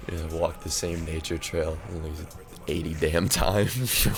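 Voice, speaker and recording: A man with a very deep, low voice speaks at a fairly quick pace in an excited tone with ordinary pitch variation. Noticeable background noise and audible room echo fill the recording. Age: 20s. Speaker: music artist and channel host. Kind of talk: casual monologue to camera. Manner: rambling, stuttering.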